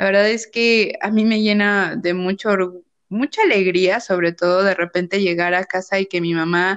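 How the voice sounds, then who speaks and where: An ordinary speaking voice belongs to a woman with a medium pitch. She keeps a moderate pace and fairly even intonation. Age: 30s. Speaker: psychologist podcast co-host. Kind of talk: casual chat.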